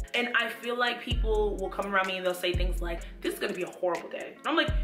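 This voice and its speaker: A woman talks at a very fast pace with a high pitch and very wide pitch swings. Clear music plays in the background. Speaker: lifestyle YouTuber. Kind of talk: casual talk to camera. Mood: earnest, motivational. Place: home room.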